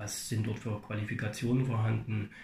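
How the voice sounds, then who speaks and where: A man speaks at medium pitch and a moderate pace, somewhat breathy. His intonation stays monotone and flat amid audible room echo. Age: 40s. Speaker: fitness studio manager. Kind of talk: interview. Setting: fitness studio. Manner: halting, many fillers.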